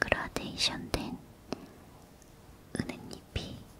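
Someone soft-spoken whispers at a very slow pace. Light background noise is audible. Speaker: ASMR creator. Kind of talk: soft spoken ASMR chat while drawing. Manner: soft close whisper, ASMR chatter.

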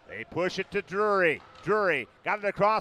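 A man's high voice comes across dry and close with no echo, though noticeable background noise is present. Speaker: hockey play-by-play announcer. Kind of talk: ice hockey play-by-play commentary.

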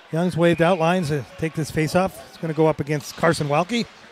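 Energetic in tone, a man speaks with a fairly high pitch and ordinary pitch variation. The sound is dry with no echo, with light background noise. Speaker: hockey play-by-play announcer. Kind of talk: live sports play-by-play commentary. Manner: fast, energetic, rapid-fire. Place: booth.

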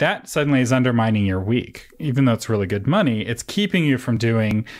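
Ordinary pitch variation and a fairly quick pace mark an ordinary speaking voice on a very clean recording with a silent background. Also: man. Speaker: podcast host. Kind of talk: interview podcast. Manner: casual, laughs often.

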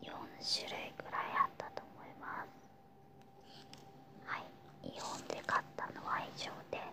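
A woman is whispering. Her pace is moderate. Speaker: shopping haul vlogger. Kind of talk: casual talk to camera. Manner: whispered, quiet. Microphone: phone near.

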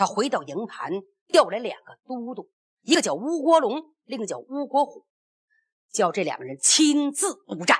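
A woman talks at a moderate pace with a high pitch. Her pitch swings very widely and her loudness varies a lot. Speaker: storyteller performing a traditional serialized oral epic (pingshu). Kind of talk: narrative storytelling.

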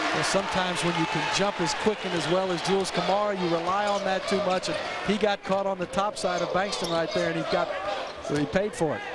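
Over loud background noise, in a dry sound with no echo, a man with a high pitch talks very fast in an animated tone. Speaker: color commentator, analyst. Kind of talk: live sports commentary, analysis. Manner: conversational, animated, explanatory color commentary.

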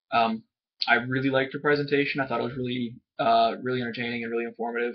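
At a very fast pace, a man speaks in a monotone, flat intonation at medium pitch against a quiet background. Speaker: student. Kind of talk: casual talk to camera, class assignment reflection. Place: home room. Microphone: webcam.

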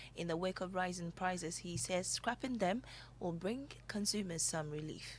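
Speaking at a moderate pace, a woman uses a fairly low pitch with vocal fry and ordinary pitch variation. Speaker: news anchor. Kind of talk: news reading. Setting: studio.

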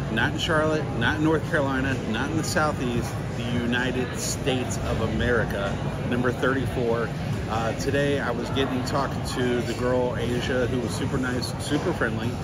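A moderate pace under loud background noise. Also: man. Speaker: food vlogger. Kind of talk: casual vlog chat. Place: market. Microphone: phone near.

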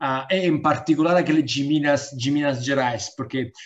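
Against a quiet background, a man speaks with an Italian accent. His voice is fairly high and his intonation fairly even. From Italy. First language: Italian (speaking Portuguese). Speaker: diplomat; webinar panelist. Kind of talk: welcome speech. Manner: halting. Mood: friendly, smiling. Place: home room. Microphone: video call.

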